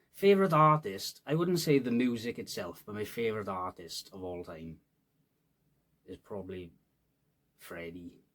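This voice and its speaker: Speaking in a Welsh Valleys accent at a moderate pace, a man makes very wide pitch swings and takes long, frequent pauses. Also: big swings in loudness. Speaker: rapper. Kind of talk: casual chat. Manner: casual, hesitant fillers.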